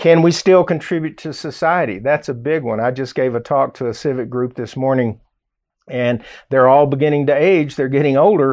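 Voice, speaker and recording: Speaking with a Southern US accent, a man uses an animated tone at a fairly high pitch. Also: ordinary pitch variation, moderate pace. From US South, Arkansas. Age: 60s. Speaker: radio host. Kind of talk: radio talk show monologue. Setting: studio. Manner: conversational, animated.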